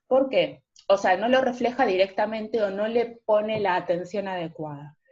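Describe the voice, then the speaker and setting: An ordinary speaking voice moves at a moderate pace, its pitch varying in an ordinary way. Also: woman, fairly high pitch for a woman. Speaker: philosophy lecturer. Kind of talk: lecture.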